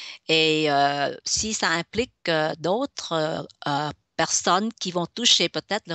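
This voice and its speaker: A woman with a fairly low voice speaks with ordinary pitch variation. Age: 60s. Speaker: business consultant. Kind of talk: radio interview. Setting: web radio. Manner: halting, many fillers.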